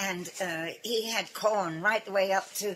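A woman speaks very slowly at a medium pitch, her intonation fairly even. Noticeable background noise runs underneath. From England. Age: 80s+. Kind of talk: interview answer.

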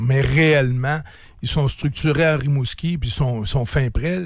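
A man's fairly high-pitched voice comes across as somewhat breathy. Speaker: businessman and sports team owner. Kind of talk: radio interview. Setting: radio studio.

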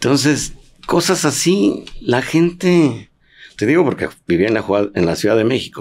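Speaking very slowly at a medium pitch, a man uses very wide pitch swings and vocal fry while keeping his loudness very even. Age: 70s. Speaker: former professional footballer. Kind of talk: interview conversation.

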